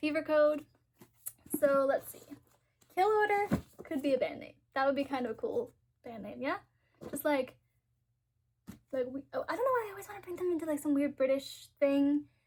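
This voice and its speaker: At a moderate pace, a woman talks in a high pitch with an animated tone and lively intonation, leaving long, frequent pauses and making big swings in loudness. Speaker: booktuber. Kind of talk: casual vlog chat.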